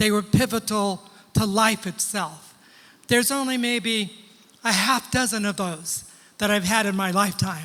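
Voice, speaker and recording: A man talks in a raised, projected voice at a high pitch, with a bright, sharp tone. His pace is moderate, broken by long, frequent pauses. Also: ordinary pitch variation. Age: 70s. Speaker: pastor. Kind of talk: sermon. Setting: church with congregation.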